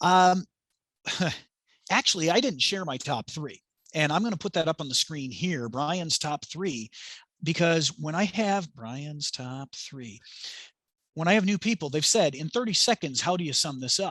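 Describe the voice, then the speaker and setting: Over a quiet background, a man speaks with a fairly high pitch and lively intonation, leaving long, frequent pauses. The sound is dry and close, with no echo. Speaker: project management instructor and author. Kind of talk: webinar presentation and Q&A. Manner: fast; energetic.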